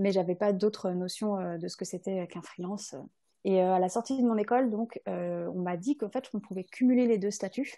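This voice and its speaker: A woman speaks at a medium pitch and a moderate pace with ordinary pitch variation. Her tone is dark and mellow, and the background is quiet. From France, Rhône-Alpes. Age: 20s. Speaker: videographer. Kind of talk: podcast interview. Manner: hesitant, many fillers.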